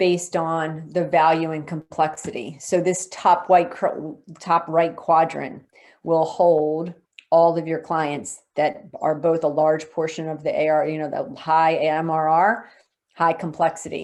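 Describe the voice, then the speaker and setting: Against a quiet background, a woman talks at a fairly slow pace in a monotone, flat delivery. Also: fairly low pitch for a woman. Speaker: customer success expert presenting software features. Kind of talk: webinar presentation.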